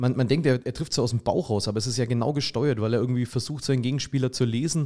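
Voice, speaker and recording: Over a silent background in a very clean recording, a man talks at a very fast pace. His tone is dark and mellow, his intonation fairly even. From Franconia, Erlangen (Bavaria). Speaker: teacher and sports arena announcer. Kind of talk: casual chat. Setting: studio.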